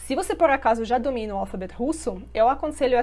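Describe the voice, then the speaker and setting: A woman with a fairly high pitch talks at a fairly quick pace, using ordinary pitch variation and vocal fry. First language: Russian (speaking Portuguese). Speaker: language teacher. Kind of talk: promotional video.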